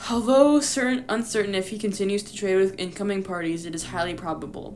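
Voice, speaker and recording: A woman of medium pitch rushes at a very fast pace, with ordinary pitch variation, big swings in loudness and noticeable background noise. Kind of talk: reading a fan lore document aloud. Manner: stutters while reading.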